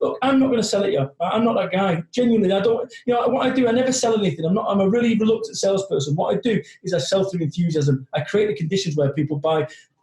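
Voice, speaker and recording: This man talks at a very fast pace with hardly any pauses and a high pitch. His intonation is lively, and his loudness is very even. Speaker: motivational business speaker. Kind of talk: casual interview.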